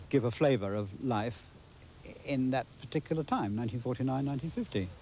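Somewhat breathy, a man speaks at a fairly quick pace with a medium pitch and ordinary pitch variation. The sound is dry with no echo, with light background noise. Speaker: amateur filmmaker. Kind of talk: interview answer. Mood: gentle reminiscing. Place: open country.

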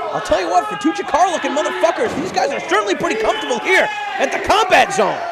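A man talks at a very fast pace with lively intonation and an extremely high pitch. Noticeable background noise can be heard. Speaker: wrestling commentator. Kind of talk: wrestling commentary, playful and joking. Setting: live-style commentary over a match in a wrestling academy. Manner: excited and animated on big moves, rising when describing strength.

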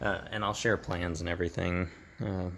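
At a moderate pace, a man speaks with a very deep, low pitch and monotone, flat intonation. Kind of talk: tutorial. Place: garage.

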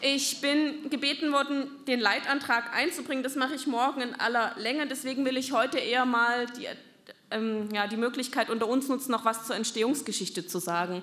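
Her pitch is high for a woman, with ordinary variation. She speaks at a fairly quick pace. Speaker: party politician. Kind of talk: speech at a party meeting. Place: hall. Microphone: podium.

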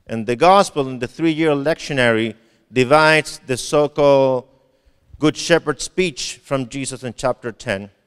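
With ordinary pitch variation and a quiet background, a man's speech moves at a fairly slow pace. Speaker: preacher. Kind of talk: sermon. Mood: warm, smiling. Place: church. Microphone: handheld.

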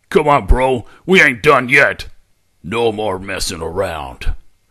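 A man puts on a character voice and speaks at a very slow pace. The recording is very clean, with a silent background. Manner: aggressive, brash.

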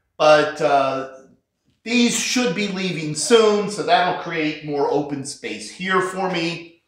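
Talking at a very slow pace, this man has a high pitch and ordinary pitch variation. The room echo is audible. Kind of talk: casual vlog chat. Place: garage. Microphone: phone near.

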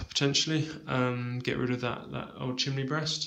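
Speaking at a moderate pace, a man uses ordinary pitch variation. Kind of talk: casual walkthrough tour. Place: home room. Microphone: phone near.

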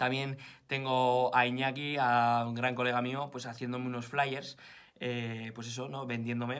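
Against a quiet background, a man with a Spanish accent talks at a moderate pace. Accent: Spanish (Spain). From Spain. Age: 20s. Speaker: fitness vlogger; vlogger. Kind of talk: vlog to camera. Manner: animated. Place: home room. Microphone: phone near.

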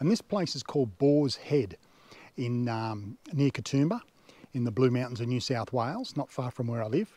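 Dry and free of echo, a man's dark, mellow voice moves at a moderate pace. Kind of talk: casual vlog chat. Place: forest. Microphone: phone near.

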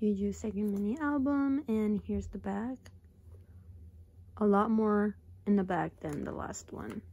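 A woman with a somewhat breathy voice at medium pitch leaves long, frequent pauses and uses ordinary pitch variation. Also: fairly slow pace. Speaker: YouTuber. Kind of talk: casual unboxing talk to camera.

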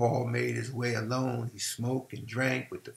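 This is a natural reading voice. Nothing else is described.

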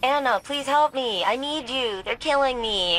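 Speaking at a moderate pace, a female-sounding put-on character voice sits high in pitch against clear background noise. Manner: mocking, exaggerated pleading.

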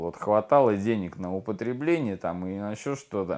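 The background is quiet. Speech comes at a moderate pace with ordinary pitch variation. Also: man. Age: 30s. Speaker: recovering addict in rehab. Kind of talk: testimony. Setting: rehabilitation center. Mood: subdued, confessional. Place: home room.

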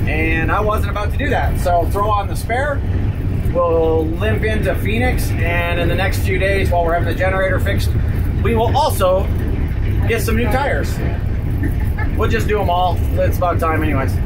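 Loud background noise runs under the recording. The speech moves at a moderate pace, broken by long, frequent pauses. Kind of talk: casual vlog chat. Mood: wry, slightly rueful. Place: car.

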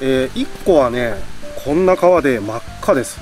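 A man speaks in a dry sound with no echo. Faint music sits in the background. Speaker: camping vlogger. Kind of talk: casual vlog chat. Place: forest. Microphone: camera far.

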